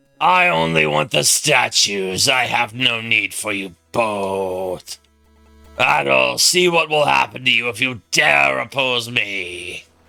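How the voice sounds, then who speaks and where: A man's put-on character voice, rumbling and raspy, fairly low in pitch with very wide pitch swings, at a fairly slow pace, with faint music in the background. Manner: ominous.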